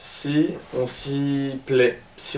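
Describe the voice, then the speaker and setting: A man's monotone, flat delivery amid noticeable background noise and audible room echo. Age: 20s. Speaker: civic service volunteer. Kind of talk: casual vlog and interview. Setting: shared home, filmed on camera. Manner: hesitant, many fillers.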